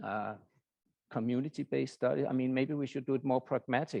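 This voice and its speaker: A man with a Danish accent and ordinary pitch variation. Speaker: professor. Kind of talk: lecture. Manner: halting.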